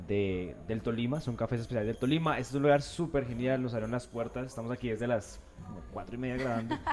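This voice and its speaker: Over noticeable background noise, a medium-pitched man speaks at a very fast pace with ordinary pitch variation. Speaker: podcast host. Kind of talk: casual interview chat. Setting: café.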